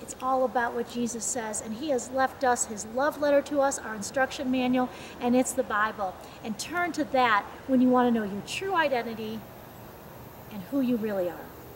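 A woman speaks at a high pitch with ordinary pitch variation. Light background noise is present. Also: moderate pace. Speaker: speaker. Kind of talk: devotional talk. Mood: warm, earnest. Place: open country. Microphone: camera far.

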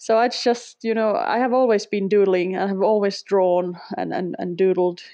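A woman of medium pitch with a Finnish accent, at a moderate pace with fairly even intonation. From Finland. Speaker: sketchnoter, former language teacher. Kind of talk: casual interview.

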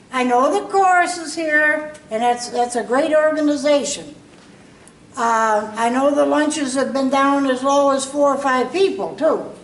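With audible room echo, a woman speaks at a fairly slow pace in a high pitch. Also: ordinary pitch variation. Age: 70s. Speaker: local resident, former senior association president. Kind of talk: public comment. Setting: public meeting with audience. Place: hall. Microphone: camera far.

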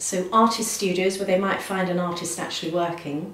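A woman is speaking. There is audible room echo. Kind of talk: interview answer. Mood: cheerful, enthusiastic.

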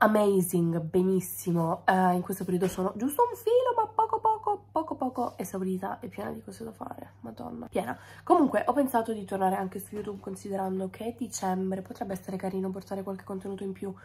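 A woman's very fast speech with big swings in loudness. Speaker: food content creator. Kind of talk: casual vlog chat. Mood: frustrated, wry. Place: kitchen. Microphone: phone near.

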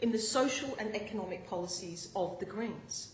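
There is audible room echo and light background noise. A woman talks at a moderate pace with ordinary pitch variation. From northern New South Wales, Australia. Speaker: newly elected state MP. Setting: parliament chamber, Legislative Assembly. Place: hall. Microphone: podium.

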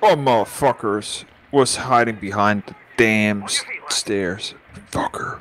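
With noticeable background noise behind him, a man talks at a fairly slow pace, his loudness swinging widely. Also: medium pitch for a man, ordinary pitch variation. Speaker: gaming YouTuber. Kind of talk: casual chat while gaming. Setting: online multiplayer game session.

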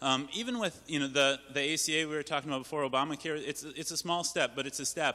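A loud man's voice at a very fast pace, bright and sharp in tone. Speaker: panelist, activist. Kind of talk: town hall panel remarks.

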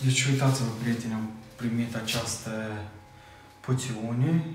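Against clear music in the background and audible room echo, a man talks at a moderate pace. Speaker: vlogger. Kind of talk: casual vlog chat. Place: home room.

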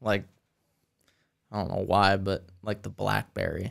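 Over a quiet background, a man with an American accent and vocal fry speaks at a fairly slow pace. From US, Greene County; US. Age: 20s. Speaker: landscape designer and first responder; podcast guest. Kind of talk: casual chat. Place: studio. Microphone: studio mic.

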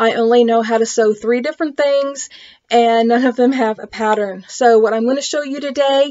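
A woman speaks at a moderate pace in a high pitch with fairly even intonation. The background is quiet. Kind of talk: casual tutorial. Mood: friendly, chatty. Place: home room. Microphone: webcam.

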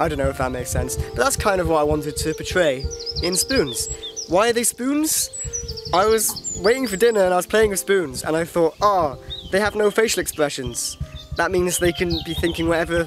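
Over music in the background, the speaker moves at a fairly quick pace with lively intonation in a dry sound with no echo. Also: man, high pitch for a man. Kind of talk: casual vlog chat. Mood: reflective, slightly self-mocking. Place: open country. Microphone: phone near.

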